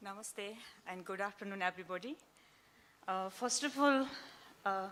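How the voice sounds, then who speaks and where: Using a Nepali accent, a woman speaks at a moderate pace with medium pitch and ordinary pitch variation. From Nepal, Gorkha. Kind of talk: business pitch. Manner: halting.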